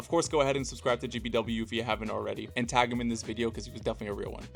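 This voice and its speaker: Very fast and fairly low-pitched, a man speaks with vocal fry and ordinary pitch variation. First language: not Italian. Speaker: card collecting youtuber. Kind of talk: voiceover narration.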